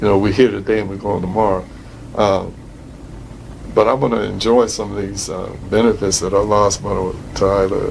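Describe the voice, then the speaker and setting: A man at a fairly quick pace with a fairly low pitch, monotone, flat intonation, big swings in loudness and long, frequent pauses, amid noticeable background noise and audible room echo. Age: 60s. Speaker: retired prison imam. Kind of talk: interview. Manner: halting, many fillers.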